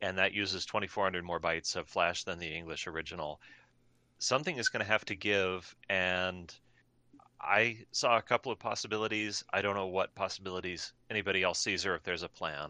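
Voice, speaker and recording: A man's very deep, low pitch with a bright, sharp tone, fairly even intonation and a fairly quick pace, in a dry, close sound with no echo and a quiet background. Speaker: software developer. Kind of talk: casual meeting update.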